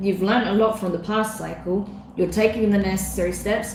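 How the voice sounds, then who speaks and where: There is noticeable background noise and audible room echo as a woman speaks at a moderate pace with a fairly high pitch. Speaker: tarot reader. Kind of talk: live-streamed tarot reading. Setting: live stream.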